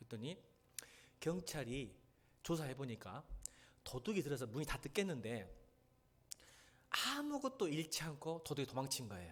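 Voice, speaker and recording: A man with vocal fry, fairly high pitch and lively intonation, at a moderate pace with long, frequent pauses. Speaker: pastor. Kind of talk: sermon. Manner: animated storytelling.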